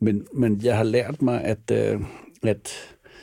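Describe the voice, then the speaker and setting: Recorded very cleanly against a silent background, a man of medium pitch speaks very slowly with a dark, mellow tone and vocal fry. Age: 60s. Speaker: film producer. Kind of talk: interview. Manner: hesitant, many fillers and repetitions.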